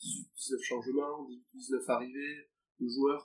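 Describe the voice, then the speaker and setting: Pitched at a medium level, this man's voice carries a dark, mellow tone. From Pau, Béarn, southwest France. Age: 20s. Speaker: professional rugby player. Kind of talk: interview. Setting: restaurant near the stadium. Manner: halting, many repetitions and fillers.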